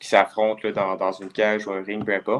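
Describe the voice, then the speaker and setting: A man with a fairly low pitch talks at a fairly quick pace against a quiet background. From Quebec (Lévis). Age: 20s. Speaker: kickboxer. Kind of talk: casual interview. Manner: hesitant, many fillers.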